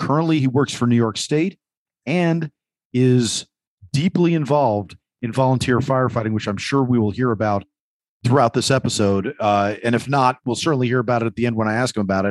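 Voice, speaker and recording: With an ordinary speaking voice at medium pitch and ordinary pitch variation, a man talks at a fairly quick pace in a dry, close sound with no echo against a quiet background. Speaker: podcast host. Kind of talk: roundtable discussion.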